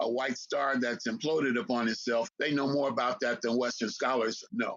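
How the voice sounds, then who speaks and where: A man speaks at a moderate pace with medium pitch. It is an ordinary speaking voice. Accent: American. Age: 60s. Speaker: historian and lecturer. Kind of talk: interview.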